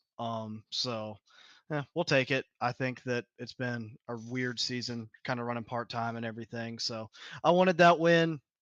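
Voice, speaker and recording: In a Southern US accent, the voice moves at a moderate pace with ordinary pitch variation, recorded with a dry, close sound with no echo against a quiet background. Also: man, medium pitch for a man. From US South, south Georgia. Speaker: sim racing driver. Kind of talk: post-race interview. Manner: casual, laid-back.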